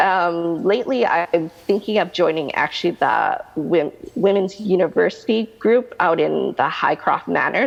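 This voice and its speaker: A woman with a plain, everyday voice speaks at a fairly slow pace in a medium pitch with lively intonation. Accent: Canadian. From Canada. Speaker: realtor. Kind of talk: interview answer.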